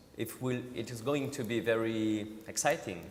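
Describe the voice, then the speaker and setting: Noticeable background noise behind a male speaker of medium pitch. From Switzerland, Vallée de Joux. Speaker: watchmaker. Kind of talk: panel discussion. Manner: halting.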